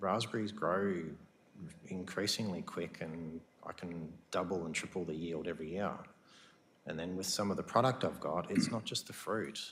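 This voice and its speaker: A man speaks with a very deep, low pitch, ordinary pitch variation, and an Australian accent. His pace is moderate, with long, frequent pauses and audible room echo. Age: 40s. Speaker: farmer. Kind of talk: council meeting Q&A. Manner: halting.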